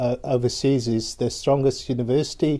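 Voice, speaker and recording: A man with a South African accent speaks at a moderate pace against a quiet background. His tone is dark and mellow, his pitch medium, and his intonation flat and monotone. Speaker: university lecturer. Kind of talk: live webinar presentation. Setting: online webinar.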